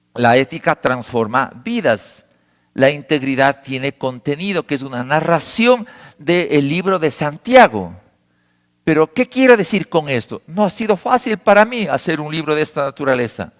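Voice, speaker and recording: Very wide pitch swings from a man at a fairly slow pace. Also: fairly high pitch for a man, dry, close sound with no echo, very clean recording, silent background. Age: 70s. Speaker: pastor. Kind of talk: sermon.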